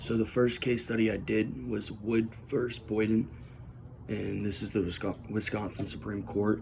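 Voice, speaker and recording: A man talks in a fairly low pitch with vocal fry. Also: moderate pace. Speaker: student. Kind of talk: class assignment presentation recorded on phone. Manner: casual, hesitant with fillers.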